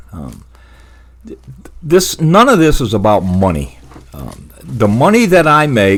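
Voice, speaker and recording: Speaking at a very slow pace with long, frequent pauses, a man with a medium pitch makes very wide pitch swings and big swings in loudness. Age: 70s. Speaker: veteran doing yard cleanup, YouTuber. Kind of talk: casual vlog talk to viewers. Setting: home office, bedroom desk. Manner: halting, many fillers and repeats.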